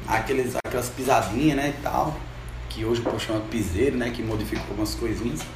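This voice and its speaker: A man's speech comes with noticeable background noise and audible room echo. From Juazeiro, Brazilian Northeast. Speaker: musician. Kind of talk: casual chat.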